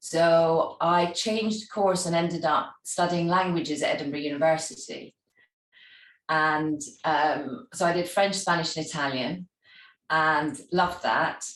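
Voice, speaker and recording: A woman speaks with a Scottish accent in a fairly low pitch. Her pitch varies in an ordinary way, and the room echo is audible. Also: fairly slow pace. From Scotland. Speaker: travel industry executive and charity founder. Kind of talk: interview.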